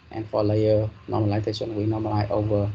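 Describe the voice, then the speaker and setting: Over noticeable background noise and audible room echo, a man speaks at a moderate pace in a fairly low voice. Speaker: university lecturer. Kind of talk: lecture. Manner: hesitant, many fillers.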